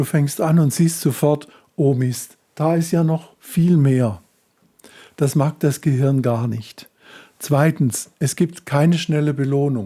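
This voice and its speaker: Very slowly, a man speaks in a fairly high pitch with a dark, mellow tone. His voice is somewhat breathy, and his pitch varies in an ordinary way. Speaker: self-help coach. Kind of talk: tutorial.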